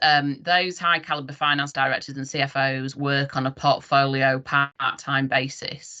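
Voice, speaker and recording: This is a woman's voice. Her pitch is very deep and low. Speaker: business speaker, regional finance director. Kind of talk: presentation. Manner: fast.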